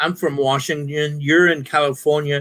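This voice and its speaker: With an American accent, a man talks at a moderate pace in a fairly high pitch. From US South, Alabama. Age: 50s. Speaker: military veteran and live stream panelist. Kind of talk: casual chat. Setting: live stream.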